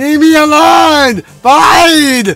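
A man speaks very slowly at an extremely high pitch, fairly bright in tone with vocal fry and ordinary pitch variation. Faint music plays in the background.

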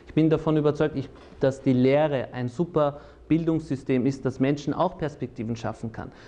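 Here a man's dark, mellow tone sits at a fairly high pitch, with fairly even intonation and big swings in loudness. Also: moderate pace. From Austria, Salzburg; Austria. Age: 30s. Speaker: lawyer and politician; lawyer, politician. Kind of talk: personal interview monologue. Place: studio. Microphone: lapel.

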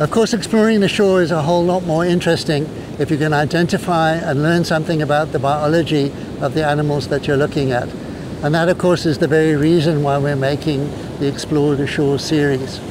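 Noticeable background noise sits under a dry sound with no echo as the speech runs at a fairly quick pace with very even loudness and fairly even intonation. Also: man. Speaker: presenter. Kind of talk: tutorial. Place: beach.

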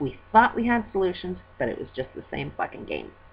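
A woman talks with vocal fry over light background noise. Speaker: vlogger. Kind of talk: casual vlog chat, opinion rant. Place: home room. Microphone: webcam.

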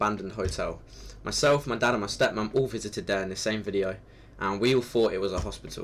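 Speaking at a very fast pace, a man with a fairly low pitch talks with vocal fry. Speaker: channel host. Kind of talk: casual vlog chat. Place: home room. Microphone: webcam.

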